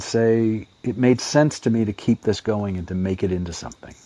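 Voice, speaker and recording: Medium-pitched male speech at a moderate pace with ordinary pitch variation, a dry, close sound with no echo, and noticeable background noise. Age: 50s. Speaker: audience member asking a question. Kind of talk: question in an online audio room. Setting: online audio chat room. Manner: halting.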